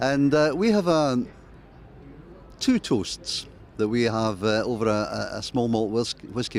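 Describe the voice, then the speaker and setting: With a Glasgow accent, a man at a medium pitch speaks at a moderate pace with lively intonation. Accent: Scottish, Glasgow. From Scotland, Glasgow. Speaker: music journalist. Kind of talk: interview. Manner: halting, repeats words.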